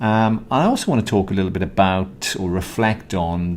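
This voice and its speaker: Speaking with a Welsh accent, a man keeps a fairly low pitch and fairly even intonation. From Wales. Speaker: podcast host, mediator. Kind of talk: casual chat.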